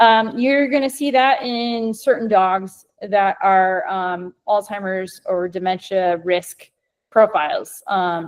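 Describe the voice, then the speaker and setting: A woman with a slight Midwestern American accent and ordinary pitch variation. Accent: Midwest American, slight. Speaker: scientist and company co-founder. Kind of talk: educational webinar presentation.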